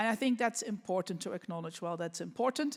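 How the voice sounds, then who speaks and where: A woman with a Dutch accent and ordinary pitch variation on a very clean recording with a silent background. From Netherlands. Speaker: business association president. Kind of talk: panel discussion. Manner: halting.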